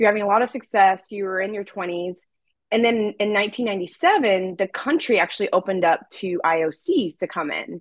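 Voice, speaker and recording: With an unremarkable speaking voice, a woman talks at medium pitch and a moderate pace against a quiet background. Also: ordinary pitch variation. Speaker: podcast co-host. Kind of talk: interview.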